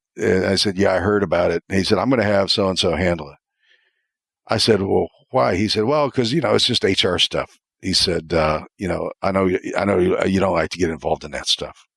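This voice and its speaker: A man with an American accent speaks at a fairly quick pace in a fairly low pitch with ordinary pitch variation, the sound dry and close with no echo on a very clean recording with a silent background. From US Midwest, Ohio. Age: 60s. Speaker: retired corporate executive. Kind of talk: podcast interview. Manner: halting, frequent fillers and restarts.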